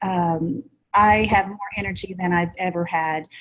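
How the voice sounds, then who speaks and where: The intonation stays fairly even and the voice is somewhat breathy. The pace is very slow. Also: woman. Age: 60s. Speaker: product customer giving testimony. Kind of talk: testimony. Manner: halting, many fillers.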